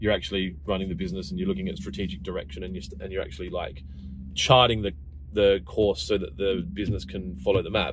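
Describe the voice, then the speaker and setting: Over noticeable background noise, a man with a very deep, low voice and vocal fry talks at a very fast pace, his intonation lively and his loudness swinging widely. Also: dry sound with no echo. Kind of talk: casual vlog chat. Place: car. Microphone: phone near.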